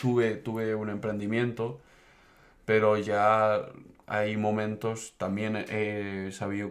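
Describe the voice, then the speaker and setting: There is audible room echo around a man's voice. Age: 20s. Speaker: engineering student. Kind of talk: casual chat.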